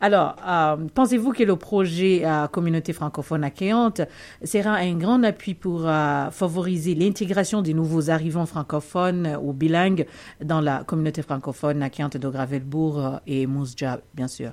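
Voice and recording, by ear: A woman speaks at a moderate pace in a low pitch with ordinary pitch variation. Her tone is slightly mellow.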